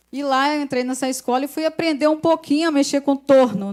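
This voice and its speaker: A woman is speaking. Her pace is fairly quick. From Brazil, Volta Redonda, interior of Rio de Janeiro state. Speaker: pastor's wife, guest preacher. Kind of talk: sermon. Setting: church service. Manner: animated, conversational.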